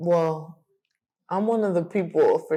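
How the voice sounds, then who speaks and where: With an American accent, a woman talks fairly slowly at a fairly low pitch, in a dark, mellow tone with ordinary pitch variation. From Colorado, US (Denver). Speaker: amateur boxer. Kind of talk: interview conversation.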